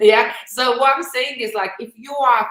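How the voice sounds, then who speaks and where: A woman with a Lithuanian accent speaks at a moderate pace. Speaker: live stream host, business recruiter. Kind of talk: casual live stream chat.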